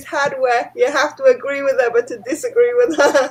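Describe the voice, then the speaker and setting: A woman with a high voice speaks at a moderate pace. Her pitch swings very widely. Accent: British. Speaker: pet keeper in group livestream. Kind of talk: casual chat.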